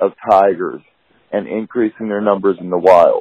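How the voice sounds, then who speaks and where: The speaker is a man talking at a moderate pace. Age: 30s. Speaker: reality TV participant, former campaign manager. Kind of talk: interview. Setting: phone call. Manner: halting, many fillers.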